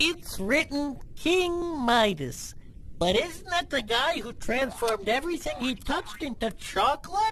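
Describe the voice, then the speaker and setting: A cartoonish character voice, female-sounding and high in pitch, carries the clip. Background noise is clearly audible. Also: moderate pace. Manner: goofy, boastful, muddled.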